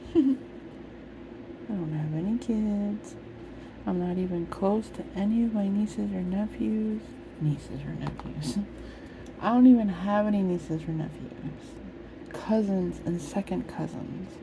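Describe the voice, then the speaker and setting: A soft-spoken woman of medium pitch, relaxed in tone, fairly slow, with very wide pitch swings and noticeable background noise. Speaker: ASMR coloring video creator. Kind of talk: ASMR chat while coloring. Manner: quiet, relaxed ASMR-style talk.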